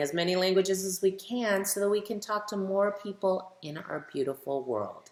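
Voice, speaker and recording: Her voice is medium in pitch with a warm tone, and the woman talks at a moderate pace with ordinary pitch variation. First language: bilingual English and Spanish. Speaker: children's author reading her book. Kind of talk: story time reading aloud for children. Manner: warm, addressing children directly.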